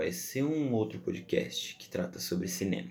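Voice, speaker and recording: A man talks with vocal fry and very wide pitch swings. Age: 20s. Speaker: podcast host. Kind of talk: solo podcast monologue. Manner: casual, chatty.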